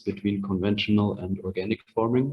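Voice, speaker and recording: A man speaks at a moderate pace with a fairly low pitch. His intonation is monotone and flat. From Germany, Bavaria (Ingolstadt). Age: 20s. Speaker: agriculture student and organic farmer. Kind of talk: online presentation.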